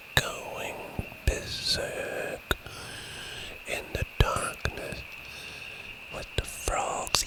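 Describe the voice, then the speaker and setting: A man's whisper over noticeable background noise. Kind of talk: ASMR nature recording. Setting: outdoors. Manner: whispered.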